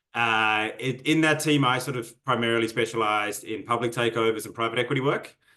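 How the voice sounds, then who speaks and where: With an Australian accent, a man at a medium pitch talks at a fairly quick pace with hardly any pauses, his tone bright and sharp and his intonation fairly even. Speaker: MBA student. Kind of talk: interview. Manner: hesitant, filler-heavy.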